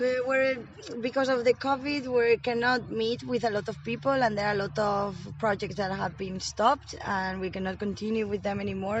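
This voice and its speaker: A woman with a Spanish accent talks at a moderate pace. Her medium pitch shows ordinary variation. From Spain, Madrid. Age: 20s. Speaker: Erasmus volunteer. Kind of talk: interview. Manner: hesitant with fillers.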